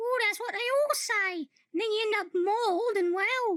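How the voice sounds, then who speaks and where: This put-on character voice is squeaky. It moves along at a moderate pace. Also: woman, extremely high pitch for a woman. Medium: comedy sketch.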